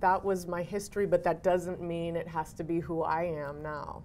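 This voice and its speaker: Hardly pausing at all, a woman with an American accent speaks in a fairly low pitch with monotone, flat intonation. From Cambridge, Massachusetts. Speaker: actor and educator. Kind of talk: interview answer.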